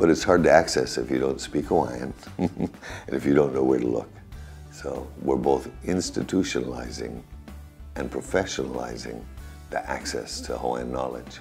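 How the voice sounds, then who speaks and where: A man's very deep, low voice at a moderate pace, with ordinary pitch variation, big swings in loudness, and faint music in the background. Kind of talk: interview answer. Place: office.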